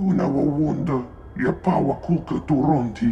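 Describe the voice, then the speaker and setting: A man uses a put-on character voice at a fairly high pitch and moderate pace. Clear background noise runs underneath. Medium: video game.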